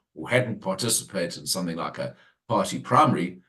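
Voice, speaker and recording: With vocal fry and very wide swings in pitch, a man talks rather quickly. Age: 60s. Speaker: former party leader, political analyst. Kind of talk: radio interview.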